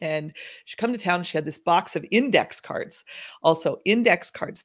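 On a very clean recording with a silent background, a woman with an American accent speaks in an animated tone at medium pitch with ordinary pitch variation. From North Dakota, US. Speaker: business strategist. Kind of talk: casual interview.

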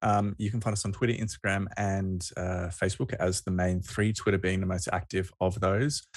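A man with an Australian accent speaks at a fairly quick pace in a fairly low, somewhat breathy voice. The background is quiet. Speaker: rugby podcast co-host. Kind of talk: casual chat.

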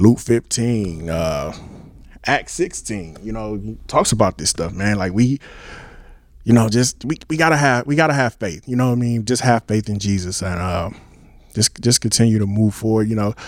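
A man talks at a moderate pace with ordinary pitch variation. His is an ordinary speaking voice. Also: fairly low pitch for a man. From Milwaukee, Wisconsin. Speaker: reverend and apparel business owner. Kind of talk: casual discussion.

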